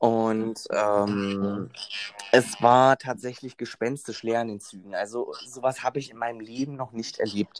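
A man's medium-pitched voice, fairly slow in pace, with fairly even intonation. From Berlin. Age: 20s. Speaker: train conductor. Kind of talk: interview. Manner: hesitant, many fillers.

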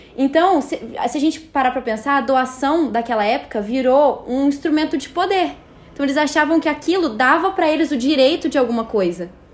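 The speech runs at a fairly quick pace with lively intonation. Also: woman, high pitch for a woman. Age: 20s. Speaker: media producer, Bible study guest. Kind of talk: casual Bible study discussion.

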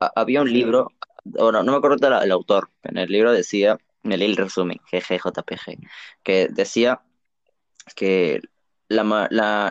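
In a dry, close sound with no echo, a man speaks fairly slowly in a plain, everyday voice at a medium pitch with ordinary pitch variation. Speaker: podcast co-host. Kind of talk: casual chat.

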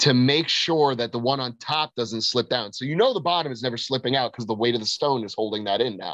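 Speaking with an American accent in an animated tone, a man goes at a very fast pace with hardly any pauses and ordinary pitch variation. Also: medium pitch for a man. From Florida, US. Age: 20s. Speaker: strongman athlete. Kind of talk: casual chat. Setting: call.

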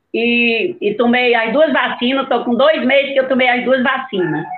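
Her voice high-pitched and her intonation lively, a woman talks at a moderate pace with audible echo from the room. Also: very even loudness. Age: 70s. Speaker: long-time football club staff member. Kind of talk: casual chat.

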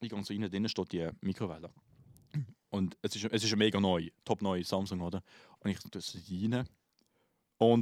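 With a Swiss accent, a man speaks at a moderate pace and fairly low pitch, his intonation fairly even and the sound dry and close with no echo. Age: 20s. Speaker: podcast host, musician. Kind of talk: casual chat.

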